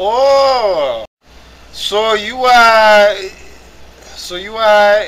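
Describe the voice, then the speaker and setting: A man speaks at an extremely high pitch, his voice raised and projected. The pitch varies in an ordinary way. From Africa. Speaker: online gamer. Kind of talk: casual chat. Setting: voice chat.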